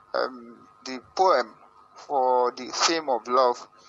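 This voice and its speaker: A man talking over noticeable background noise. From Nigeria. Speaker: poet, competition winner. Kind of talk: interview. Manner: halting, repetitive.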